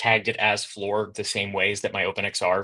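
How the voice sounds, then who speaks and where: His tone is bright and sharp. This man speaks at a fairly low pitch with monotone, flat intonation. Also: quiet background. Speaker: game developer presenting at an online event. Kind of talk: conference presentation. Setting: virtual event. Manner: fast; casual, filler-heavy.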